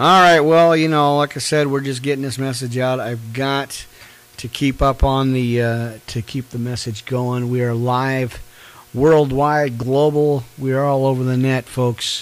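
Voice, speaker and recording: Here a man talks at a fairly slow pace. His intonation is fairly even. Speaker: online preacher. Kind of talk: live-streamed Bible study. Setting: live stream with background music. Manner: casual with many fillers. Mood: warm, encouraging. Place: home room. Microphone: studio mic.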